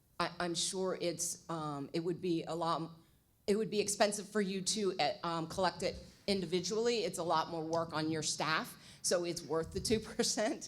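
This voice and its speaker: There is audible room echo as a woman speaks at a fairly low pitch with ordinary pitch variation. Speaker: budget consultant presenting to city council. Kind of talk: presentation to city council. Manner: fast.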